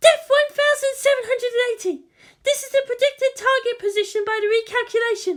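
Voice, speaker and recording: The put-on character voice is squeaky and extremely high-pitched, moving at a fairly quick pace. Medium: read story. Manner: reporting numbers, anxious.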